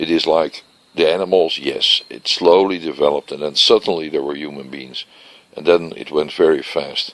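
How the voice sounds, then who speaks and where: Against noticeable background noise, a man with a Dutch accent speaks at a moderate pace with big swings in loudness. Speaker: vlogger. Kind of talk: casual monologue vlog. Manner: unscripted, searching for words.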